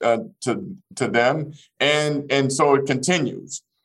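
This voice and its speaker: Fairly high in pitch, a man speaks with an American accent and fairly even intonation. He has an unremarkable speaking voice. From Arkansas, US South. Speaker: business executive. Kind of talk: interview.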